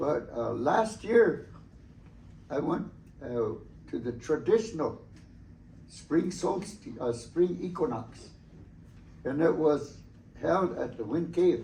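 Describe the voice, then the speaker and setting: In a room with audible echo, a man with a fairly high pitch, vocal fry and lively intonation speaks at a very slow pace with long, frequent pauses. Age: 70s. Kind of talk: talk to students about traditions. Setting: school presentation. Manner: halting with many fillers.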